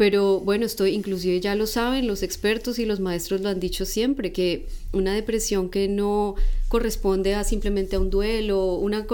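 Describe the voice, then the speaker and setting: In a Bogotá accent, a woman speaks at a moderate pace and medium pitch with a dark, mellow tone, and the room echo is audible. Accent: Colombian Spanish (Bogotá). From Colombia, Bogotá. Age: 30s. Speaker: guest sharing spiritual testimony. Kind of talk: personal testimony.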